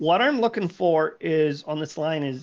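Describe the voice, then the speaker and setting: A high-pitched man at a fairly slow pace against a quiet background. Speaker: sim racing engineer explaining telemetry. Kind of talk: tutorial over a call. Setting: phone or voice call. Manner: animated.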